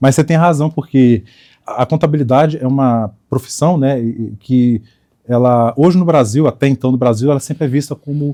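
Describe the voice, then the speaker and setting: A dark, mellow tone comes through at a fairly quick pace with ordinary pitch variation, in a dry, close sound with no echo. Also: man. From Espírito Santo, Brazil. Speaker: accountant. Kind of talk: podcast interview.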